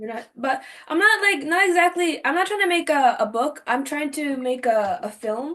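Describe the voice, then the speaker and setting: A woman's high-pitched voice, bright and sharp in tone, animated, with lively intonation and a moderate pace. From Japan. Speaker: podcast host. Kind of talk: casual interview.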